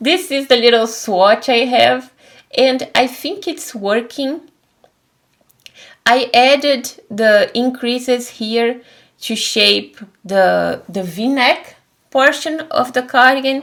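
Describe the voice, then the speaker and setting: A woman speaks in a high voice with ordinary pitch variation. Her pace is very slow, broken by long, frequent pauses. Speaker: knitting podcaster. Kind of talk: casual chat.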